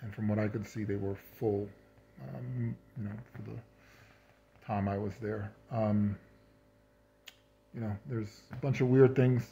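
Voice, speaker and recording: A man talks at a fairly slow pace with long, frequent pauses, in a fairly low pitch and a dark, mellow, somewhat breathy tone. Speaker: cancer patient. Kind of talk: casual video update to camera. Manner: hesitant, many fillers.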